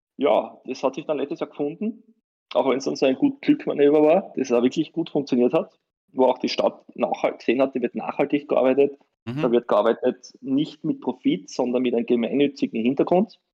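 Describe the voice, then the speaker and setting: A man with a normal speaking voice talks at a moderate pace and fairly high pitch, with ordinary pitch variation. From Austria, Styria. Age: 30s. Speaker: lawyer and tournament organizer. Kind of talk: interview.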